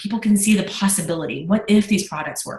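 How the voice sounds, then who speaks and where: Her intonation is fairly even. The voice belongs to a woman. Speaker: network marketing business leader. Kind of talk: Q&A session. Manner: fast.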